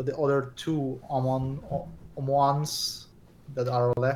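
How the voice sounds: A slightly mellow tone with little pitch movement, at a slow pace, with audible room echo. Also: man, medium pitch for a man.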